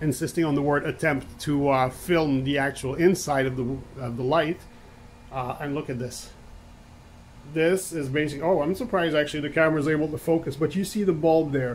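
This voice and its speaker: Fairly even intonation at a moderate pace over light background noise. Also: man. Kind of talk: tutorial. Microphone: phone near.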